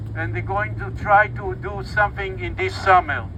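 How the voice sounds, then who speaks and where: Against noticeable background noise, a man with an Israeli accent speaks at a fairly slow pace. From Israel, Bat Yam. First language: Hebrew. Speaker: activist speaker. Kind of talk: protest rally speech.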